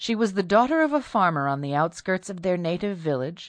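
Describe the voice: The intonation is lively throughout this plain reading aloud.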